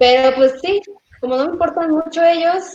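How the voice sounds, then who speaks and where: A woman at a moderate pace. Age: 30s. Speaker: vegan interviewee. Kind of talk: casual interview chat.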